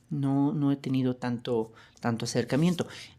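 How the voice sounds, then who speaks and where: The recording is very clean and the background silent. The delivery comes at a moderate tempo. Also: man. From Mexico. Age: 30s. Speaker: podcast host. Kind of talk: podcast monologue. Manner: hesitant, many fillers.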